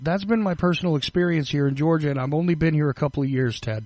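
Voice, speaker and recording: The speaker has a Northeastern US accent and ordinary pitch variation. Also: man. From US Northeast, tri-state area. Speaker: podcast host. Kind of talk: interview. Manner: halting.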